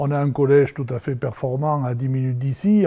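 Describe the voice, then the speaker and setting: Moving at a moderate pace, a man speaks with a fairly high pitch and a dark, mellow tone. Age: 60s. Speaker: village mayor. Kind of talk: interview, promotional speech.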